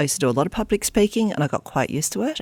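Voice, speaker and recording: With an Australian accent, a woman speaks with very wide pitch swings in a dry, close sound with no echo, on a very clean recording with a silent background. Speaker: arts school chief executive. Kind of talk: interview. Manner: fast; casual.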